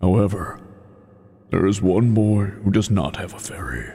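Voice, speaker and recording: Booming and raspy, a man's put-on character voice sits fairly low in pitch and moves at a moderate pace. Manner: dramatic storytelling.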